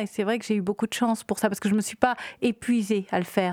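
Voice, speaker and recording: In a very clean recording with a silent background and a dry, close sound with no echo, a woman uses an ordinary speaking voice with a fairly high pitch and fairly even intonation. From Réunion. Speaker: film director. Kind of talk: interview.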